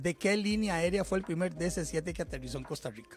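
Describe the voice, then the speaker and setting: With faint music in the background, a man speaks at a high pitch with ordinary pitch variation at a moderate pace, in a dry sound with no echo. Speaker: podcast host. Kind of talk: podcast host chat. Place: studio. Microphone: studio mic.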